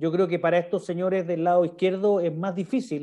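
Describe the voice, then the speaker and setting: A man's high-pitched voice with a Chilean accent and a dark, mellow tone, at a moderate pace over a quiet background. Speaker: sales director giving a webinar talk. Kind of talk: online presentation / webinar with Q&A. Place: home room. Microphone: video call.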